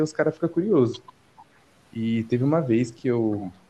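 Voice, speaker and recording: A man's medium-pitched voice shows ordinary pitch variation and keeps a moderate pace. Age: 20s. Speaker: videomaker and film student. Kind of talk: casual chat.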